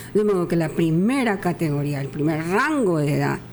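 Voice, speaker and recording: There is audible room echo around a woman with a fairly low pitch. She speaks at a moderate pace. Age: 80s+. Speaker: masters athlete. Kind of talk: radio interview.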